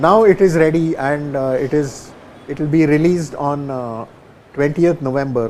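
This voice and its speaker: Against noticeable background noise, a man talks fairly slowly, his pitch varying in an ordinary way. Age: 70s. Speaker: tabla maestro. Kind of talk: interview. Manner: halting.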